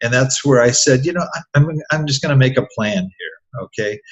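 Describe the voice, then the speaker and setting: This man's voice sits at medium pitch, somewhat breathy, with ordinary pitch variation and a moderate pace. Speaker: real estate investor and podcaster. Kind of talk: interview. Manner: halting, many fillers.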